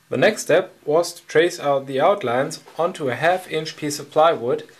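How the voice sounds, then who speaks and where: Noticeable noise fills the background. Through it, a man talks with ordinary pitch variation. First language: not English. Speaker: hobby woodworker. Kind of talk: tutorial.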